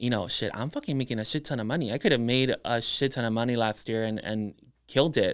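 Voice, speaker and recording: Recorded very cleanly against a silent background, a man with a South Texas accent talks fairly quickly in a medium pitch. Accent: South Texas Mexican-American English. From Edinburg, Texas (Rio Grande Valley), Mexican-American family. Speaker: makeup artist and social media influencer. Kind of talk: casual interview chat. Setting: studio.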